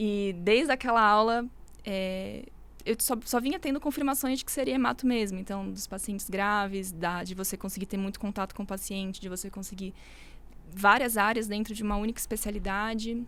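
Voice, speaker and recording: A normal speaking voice from a woman at medium pitch, fairly quick, with ordinary pitch variation, on a very clean recording over a silent background. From São Paulo, Brazil. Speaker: medical resident, hematology. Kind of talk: casual chat.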